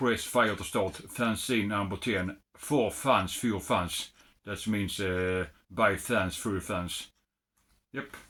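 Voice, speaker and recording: A man with a Swedish accent speaks very slowly, his pitch fairly low with ordinary variation. His tone is bright and sharp on a very clean recording with a silent background. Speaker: retro computer hobbyist. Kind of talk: unboxing video. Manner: halting.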